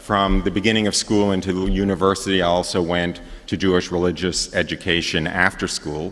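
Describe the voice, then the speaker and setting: In a New York accent, a man speaks with a very deep, low pitch and monotone, flat intonation. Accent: New York area American. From New York area, US. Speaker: priest giving retreat talk. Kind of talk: testimony. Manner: halting, many fillers.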